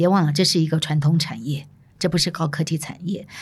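Over a very clean recording with a silent background, a woman talks in a somewhat breathy, animated tone. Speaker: podcast host, former media executive. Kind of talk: solo narrated storytelling podcast.

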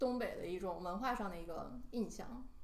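With noticeable background noise and audible room echo, a woman speaks with ordinary pitch variation. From Northeast China. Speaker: podcast co-host. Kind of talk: casual chat.

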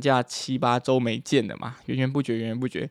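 The voice is a man's, medium in pitch. He talks at a fairly quick pace. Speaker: podcaster, university student. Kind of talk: casual monologue. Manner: animated.

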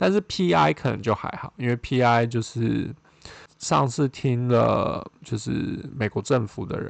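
A man with a Taiwanese accent speaks at a very slow pace in a medium pitch with lively intonation. The sound is dry and close with no echo, and the background is quiet. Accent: Taiwanese Mandarin. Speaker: podcast host, postdoctoral researcher in neuroscience. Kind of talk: solo podcast monologue. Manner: hesitant, many fillers.

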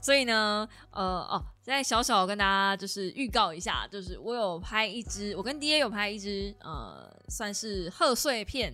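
On a very clean recording with a silent background, a woman talks at a moderate pace in a bright, sharp tone. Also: medium pitch for a woman, ordinary pitch variation. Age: 30s. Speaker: podcast host. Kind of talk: casual solo talk.

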